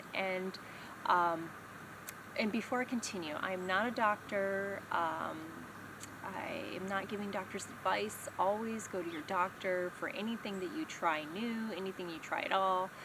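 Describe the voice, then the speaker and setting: A woman speaks at a fairly slow pace. The room echo is audible. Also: medium pitch for a woman, ordinary pitch variation. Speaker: vlogger sharing brain injury recovery. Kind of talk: personal vlog talk. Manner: halting, many fillers.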